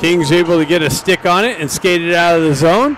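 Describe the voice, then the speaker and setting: Amid noticeable background noise, a high-pitched man speaks at a fairly quick pace in a dry sound with no echo. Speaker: hockey play-by-play announcer. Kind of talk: live play-by-play commentary. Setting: live at the rink. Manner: shifts to relaxed, laughing banter with coaches when play stops. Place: stadium.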